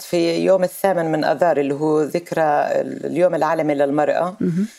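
The speaker uses a normal speaking voice at a moderate pace. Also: woman. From Palestine, Nablus. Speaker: Palestinian activist and legislator. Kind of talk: interview.

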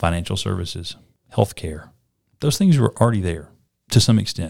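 A man with a very deep, low voice speaks at a moderate pace, slightly breathy and with lively intonation. The recording is very clean, with a silent background. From North Alabama, small town. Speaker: startup incubator CEO. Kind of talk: interview.

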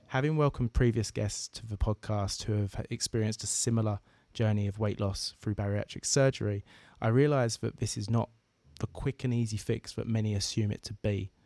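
A man with an Essex accent speaks at a fairly quick pace in a fairly low pitch, with a dark, mellow tone and fairly even intonation. The recording is very clean with a silent background and a dry, close sound with no echo. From southeast England. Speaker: podcast host. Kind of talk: interview.

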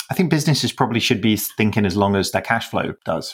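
A man with a British accent speaks at a very fast pace in a fairly low pitch. The recording is very clean, with a silent background. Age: 40s. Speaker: business founder and CEO. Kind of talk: interview.

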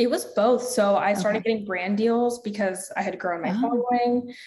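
Here is a somewhat breathy woman with an American accent. She talks at a fairly quick pace. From US South. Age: 20s. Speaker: health and fitness coach, entrepreneur. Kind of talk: interview conversation.

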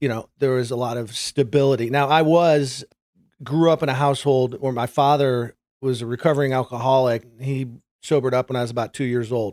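A man talks at a fairly quick pace and medium pitch, with a dry, close sound with no echo on a very clean recording with a silent background. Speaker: sales executive. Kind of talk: interview. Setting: at home. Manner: halting.

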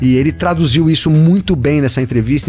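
Noticeable background noise behind a man's fairly quick speech, his pitch varying in an ordinary way. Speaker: motorsport podcast co-host. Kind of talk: casual chat. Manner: animated.

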